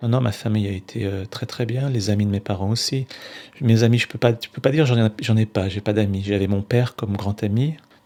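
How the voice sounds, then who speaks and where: This man talks at a fairly quick pace in a dark, mellow tone, with fairly even intonation and a fairly low pitch. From France, Roanne. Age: 40s. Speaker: mental health peer group member. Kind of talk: documentary testimony.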